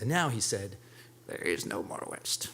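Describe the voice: A man speaks in a put-on character voice at medium pitch. The pace is moderate, with clear background noise.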